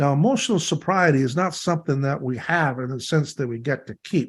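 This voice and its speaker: With very wide pitch swings and a somewhat breathy tone, a man talks at a moderate pace. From Canada (Ontario). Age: 70s. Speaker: recovery workshop leader. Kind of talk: workshop talk.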